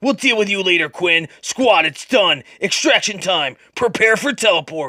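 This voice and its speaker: A man puts on a character voice, pitched high. He speaks at a moderate pace. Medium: read story. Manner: curt, commanding.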